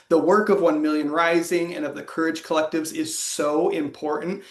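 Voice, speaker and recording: A man speaks at a fairly quick pace with a high pitch and ordinary pitch variation, over noticeable background noise. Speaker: organizer and trainer. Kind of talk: online training presentation.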